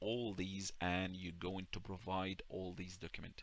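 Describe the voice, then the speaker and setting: In an Arabic accent, a man with a very deep, low pitch and a bright, sharp tone speaks at a moderate pace in a monotone, flat intonation. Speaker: YouTuber. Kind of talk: tutorial. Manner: halting.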